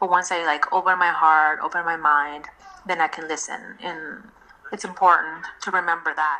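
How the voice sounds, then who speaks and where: The voice carries a Spanish accent. Noticeable background noise runs beneath it. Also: woman. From Mexico. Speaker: designer and craft fair co-founder. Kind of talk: podcast interview. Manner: halting, many fillers and restarts.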